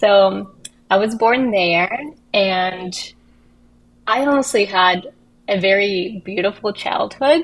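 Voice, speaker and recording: A woman with a Russian accent speaks very slowly, leaving long, frequent pauses. Her loudness stays very even, and her pitch varies in an ordinary way. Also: medium pitch for a woman. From Russia, Kazan (Tatarstan). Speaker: actress and filmmaker. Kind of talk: casual chat.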